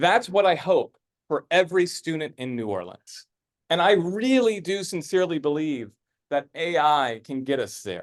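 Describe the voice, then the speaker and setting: Over a quiet background, a man with a high pitch speaks at a moderate pace with lively intonation. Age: 30s. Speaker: philanthropist and tech speaker. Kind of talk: presentation to a live audience. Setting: stage with audience. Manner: hesitant, many fillers and repeats.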